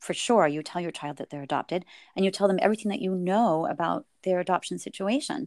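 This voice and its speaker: In a very clean recording with a silent background and a dry, close sound with no echo, a woman with a Californian accent talks very fast at a fairly low pitch with ordinary pitch variation. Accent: General American (Californian). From US West Coast, Silicon Valley. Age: 40s. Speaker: adoptive mother and counselor. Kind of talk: interview.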